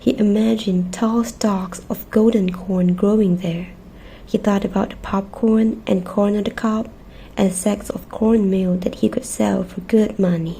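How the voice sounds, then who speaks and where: Her voice is soft-spoken, with a gentle tone and a medium pitch. The woman keeps a fairly slow pace and fairly even intonation. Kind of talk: children's storybook reading. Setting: cozy bedtime ASMR setup with snacks. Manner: soft-spoken, gentle.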